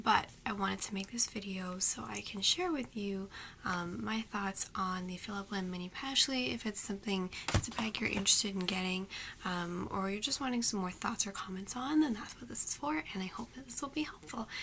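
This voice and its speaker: A soft-spoken, whispering woman at a fairly quick pace, over noticeable background noise. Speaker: beauty and fashion vlogger. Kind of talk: product review. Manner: whispering, soft; hesitant, many fillers.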